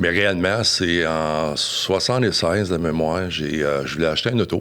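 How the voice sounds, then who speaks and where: A man's very deep, low voice with ordinary pitch variation over noticeable background noise. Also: moderate pace. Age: 60s. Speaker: business owner. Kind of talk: interview. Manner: halting.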